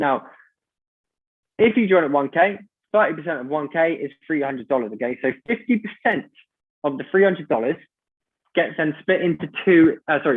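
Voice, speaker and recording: With long, frequent pauses, a man speaks in a fairly high pitch and lively intonation. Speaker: business opportunity presenter. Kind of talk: sales pitch. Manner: fast.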